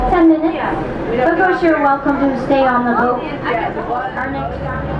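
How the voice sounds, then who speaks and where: A woman at a fairly slow pace, with crowd noise in the background. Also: ordinary pitch variation. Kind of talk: onboard safety and route announcement. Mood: friendly routine announcer. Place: boat.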